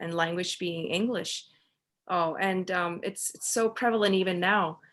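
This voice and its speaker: A woman's medium-pitched voice sounds against a quiet background. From Pakistan. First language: Urdu. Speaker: author. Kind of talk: interview conversation. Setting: video call. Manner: halting.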